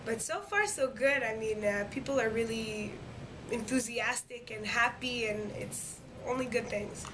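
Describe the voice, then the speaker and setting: A woman's fairly high-pitched voice with fairly even intonation, amid noticeable background noise and audible room echo. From Quebec, Montreal. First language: French. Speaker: singer, talent show winner. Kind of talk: interview. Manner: hesitant, many fillers.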